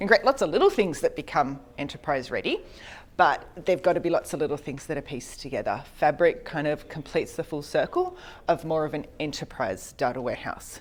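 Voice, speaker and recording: A woman with an Australian accent speaks at a fairly quick pace. The recording is very clean, with a silent background. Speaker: conference speaker on data. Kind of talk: technical presentation.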